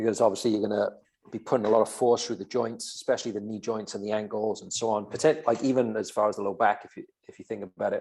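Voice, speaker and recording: A man with a Welsh accent, talking at a very fast pace with fairly even intonation. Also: medium pitch for a man, big swings in loudness. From Wales. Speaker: podcast co-host, fitness coach. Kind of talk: casual podcast chat.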